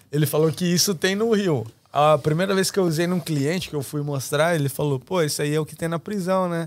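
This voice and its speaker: A man with a fairly high pitch talks in an unremarkable speaking voice with ordinary pitch variation. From Brazil, interior of São Paulo state. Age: 20s. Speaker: barber. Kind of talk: casual chat.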